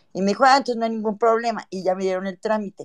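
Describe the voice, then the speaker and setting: Over a quiet background, a woman speaks in an unremarkable speaking voice, with medium pitch and ordinary pitch variation. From Mexico (born in Cuba, left around 1960). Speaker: caller. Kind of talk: casual chat.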